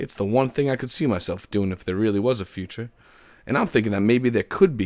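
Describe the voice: The voice is a plain reading aloud with ordinary pitch variation.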